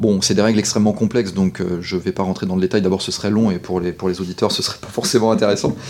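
A man with a fairly low pitch, a very fast pace and monotone, flat intonation, over noticeable background noise. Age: 40s. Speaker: sports lawyer. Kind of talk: interview. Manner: halting.

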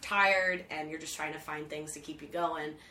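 A woman with an American accent speaks at a moderate pace in a very deep, low voice with monotone, flat intonation. Noticeable background noise can be heard. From US, Philadelphia. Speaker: events organizer and business owner. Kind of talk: casual chat.

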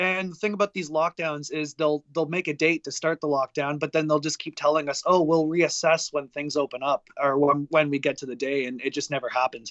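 A man talks at a fairly quick pace with hardly any pauses. He has an ordinary speaking voice and fairly even intonation. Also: fairly high pitch for a man. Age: 20s. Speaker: metal band musician. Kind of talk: casual interview.

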